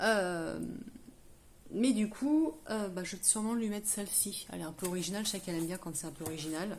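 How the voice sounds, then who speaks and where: Medium-pitched female speech with lively intonation, at a moderate pace. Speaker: craft tutorial youtuber. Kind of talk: tutorial. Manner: hesitant, many fillers.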